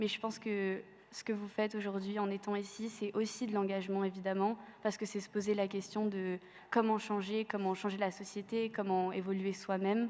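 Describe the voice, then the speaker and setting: Her intonation is monotone and flat. The woman keeps a moderate pace. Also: medium pitch for a woman. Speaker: student activist. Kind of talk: panel testimony. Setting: university amphitheatre with audience. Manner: hesitant, many fillers.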